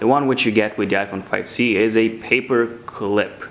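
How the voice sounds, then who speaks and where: A man speaks at a moderate pace with a medium pitch and ordinary pitch variation over noticeable background noise. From Romania. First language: Romanian. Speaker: tech YouTuber. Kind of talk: unboxing tutorial.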